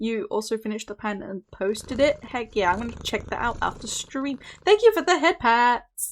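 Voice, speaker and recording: A woman with a high pitch and a British accent, lively intonation, a moderate pace, and a very clean recording with a silent background. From Britain. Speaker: streamer. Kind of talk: casual chat. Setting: live stream. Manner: casual, hesitant with fillers.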